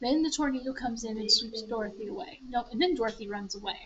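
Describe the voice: A woman talks at a fast pace in a fairly bright tone with a slightly husky edge. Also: fairly high pitch for a woman, ordinary pitch variation.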